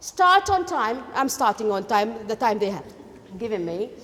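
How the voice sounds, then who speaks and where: A woman with a Kuwaiti accent speaks with very wide swings in pitch over noticeable background noise. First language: Arabic. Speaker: education lecturer. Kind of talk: lecture.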